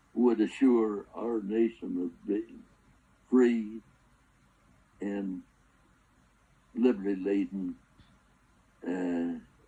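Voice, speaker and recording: A man speaks very slowly with an American accent, leaving long, frequent pauses. His tone is dark and mellow. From US Pacific Northwest, Seattle. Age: 90s. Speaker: war veteran. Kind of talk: interview. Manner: halting.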